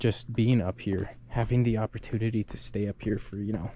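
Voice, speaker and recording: The delivery runs at a fairly quick pace in a dark, mellow tone that is somewhat breathy. The intonation stays monotone and flat. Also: man. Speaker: travel vlogger. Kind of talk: casual walking tour vlog. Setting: outdoors. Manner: soft-spoken, trying to be quiet; casual, filler-heavy.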